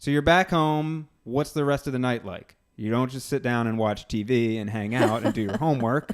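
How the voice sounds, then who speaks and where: A man speaks at a moderate pace with hardly any pauses. He has a normal speaking voice at a medium pitch. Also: ordinary pitch variation. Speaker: podcast host. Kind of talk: interview questions, casual conversation.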